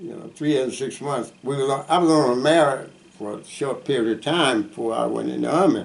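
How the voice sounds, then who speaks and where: Noticeable background noise runs beneath a man whose medium pitch varies an ordinary amount as he talks fairly quickly. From US South, Mississippi. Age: 80s+. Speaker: war veteran. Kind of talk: oral history interview. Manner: halting.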